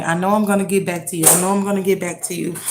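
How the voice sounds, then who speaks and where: A woman with a medium pitch is heard with audible room echo. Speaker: tarot reader. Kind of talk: tarot reading. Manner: halting.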